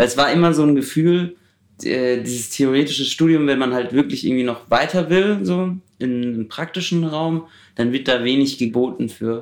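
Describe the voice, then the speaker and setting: This man has a plain, everyday voice, fairly high in pitch, with ordinary pitch variation at a moderate pace. The recording is very clean, with a silent background. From Germany, Heidelberg. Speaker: student filmmaker. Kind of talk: casual interview.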